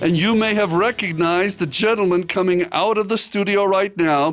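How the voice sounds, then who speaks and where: A man's high-pitched voice, fairly even in intonation and very even in loudness, at a moderate pace over music in the background. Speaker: motivational speaker. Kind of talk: interview host.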